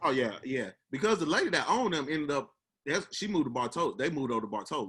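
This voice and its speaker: This man's voice sits fairly high and swings very widely in pitch. He talks at a very fast pace. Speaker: podcast host. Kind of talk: casual chat.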